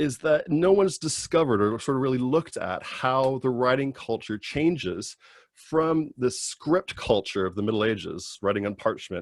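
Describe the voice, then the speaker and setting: An ordinary speaking voice with an American accent, lively intonation and a moderate pace, in a dry, close sound with no echo on a very clean recording with a silent background. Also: man. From California. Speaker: PhD student. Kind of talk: informational talk.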